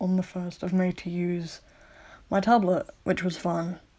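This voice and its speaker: Mumbling at a very slow pace, a woman with a fairly low pitch has a dark, mellow tone. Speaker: digital artist. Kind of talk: casual product review to camera. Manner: mumbling, hesitant with fillers.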